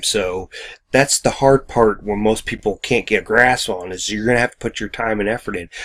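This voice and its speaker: This man mumbles at a moderate pace. His pitch is medium and his intonation fairly even. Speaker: online business vlogger. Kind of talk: casual video monologue. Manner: mumbling; halting.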